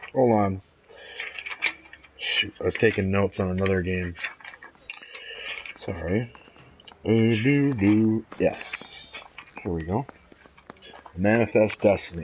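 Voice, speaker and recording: A man speaks at a very slow pace with long, frequent pauses and ordinary pitch variation. Noticeable background noise runs underneath. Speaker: gaming video creator. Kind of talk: gameplay commentary. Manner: casual, halting.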